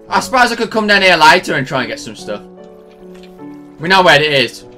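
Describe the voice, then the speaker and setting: A man talks at a fairly quick pace, his pitch high and swinging very widely. Music plays in the background. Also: big swings in loudness. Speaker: let's play gamer. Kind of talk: casual, slangy. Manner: loud, prone to screaming; loud, screams a lot.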